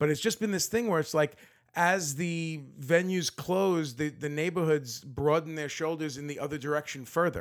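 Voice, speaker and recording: An unremarkable speaking voice from a man with an American accent, fairly high pitch, ordinary pitch variation and moderate pace. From Brooklyn, New York (Bergen Beach). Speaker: musician. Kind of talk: casual interview chat.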